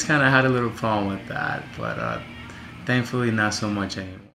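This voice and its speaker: There is audible room echo and noticeable background noise. A man speaks with ordinary pitch variation. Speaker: student. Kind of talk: self-evaluation monologue. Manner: loud; halting, many fillers.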